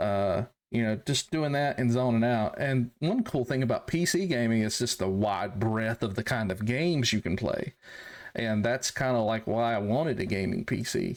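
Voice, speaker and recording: A man with a North Carolina accent speaks at a moderate pace. The recording is very clean, with a silent background. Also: medium pitch for a man, ordinary pitch variation, very even loudness. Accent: Southern, North Carolina. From US South, rural North Carolina. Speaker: military veteran turned farmer. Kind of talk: casual chat. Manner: halting.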